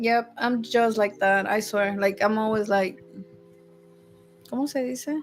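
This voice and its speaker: A woman with a Spanish accent speaks at a fairly slow pace with long, frequent pauses. Her voice is fairly high, with fairly even intonation. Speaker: podcast co-host. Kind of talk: casual chat.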